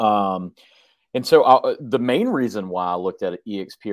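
Against a quiet background with a dry, close sound and no echo, a man speaks in a normal speaking voice, fairly low in pitch, at a moderate pace. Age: 40s. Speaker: real estate team leader. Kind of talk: interview.

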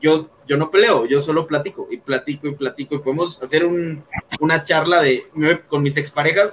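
With a Mexican accent, a man speaks at a moderate pace in a fairly high pitch and fairly even intonation, over noticeable background noise. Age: 20s. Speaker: podcaster. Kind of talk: casual chat.

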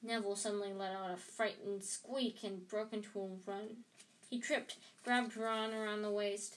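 The clip features a natural reading voice.

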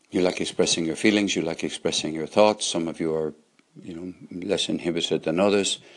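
A man's very deep, low voice in a Cork accent, fairly quick and with fairly even intonation. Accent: Cork Irish. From Ireland, Cork. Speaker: poet and storyteller podcaster. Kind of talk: casual monologue. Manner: halting.

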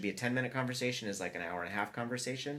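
The tone is bright and sharp, with an American accent. The pace is very fast. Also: man. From US South, Atlanta. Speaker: architecture and design firm principal. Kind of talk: casual interview chat.

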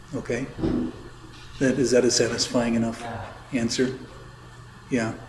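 Audible room echo and noticeable background noise surround a man who speaks in a monotone, flat intonation. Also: medium pitch for a man, moderate pace. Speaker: priest teaching catechism. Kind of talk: catechism class lecture. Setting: classroom with some attendees online. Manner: casual, hesitant with fillers.

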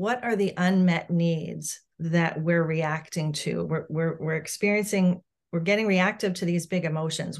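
This woman has a normal speaking voice with a fairly low pitch. She talks at a fairly slow pace with fairly even intonation. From Massachusetts, South Shore. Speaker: parent coach. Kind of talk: interview.

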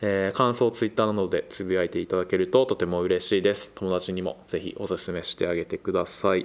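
A man's fairly low-pitched, monotone, flat voice in a very clean recording with a silent background. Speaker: podcast host. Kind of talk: casual chat.

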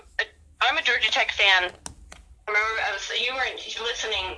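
The voice moves through very wide pitch swings against noticeable background noise. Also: woman. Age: 30s. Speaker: podcast guest and Yankees fan. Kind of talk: casual chat. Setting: phone or video call.

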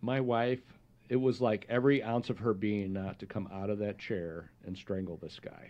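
Using a normal speaking voice, a man with fairly low pitch talks at a moderate pace with ordinary pitch variation. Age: 50s. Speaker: podcast host. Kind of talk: interview.

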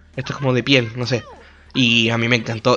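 A man speaks at a medium pitch. He talks with a Chilean accent. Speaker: solo podcaster reviewing films. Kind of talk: casual solo monologue. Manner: halting, with many repeated words. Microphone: microphone problems, may sound bad.

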